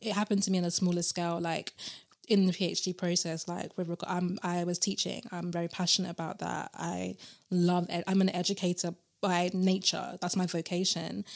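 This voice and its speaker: In a British accent, a woman talks at a fairly quick pace with a fairly low pitch and monotone, flat intonation. The recording is very clean, with a silent background. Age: 30s. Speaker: tarot reader and PhD student. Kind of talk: casual interview chat.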